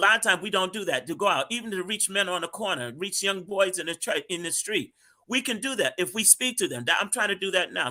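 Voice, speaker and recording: The voice is raised and projected, bright and sharp in tone, moving at a fairly quick pace with ordinary pitch variation. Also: man. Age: 60s. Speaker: street minister. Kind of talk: panel discussion.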